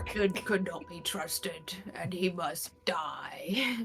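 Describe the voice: With clear music in the background, a female-sounding put-on character voice speaks very slowly at a medium pitch.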